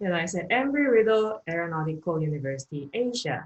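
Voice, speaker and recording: With a Korean accent, a woman speaks at a fairly low pitch with lively intonation. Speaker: economics lecturer. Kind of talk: online lecture.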